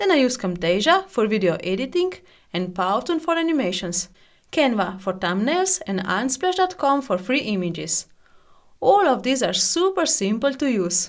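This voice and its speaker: In a very clean recording with a silent background, a woman with a non-native accent speaks with very wide pitch swings. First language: not English. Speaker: software tutorial YouTuber. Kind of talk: tutorial. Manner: scripted, read from prepared text.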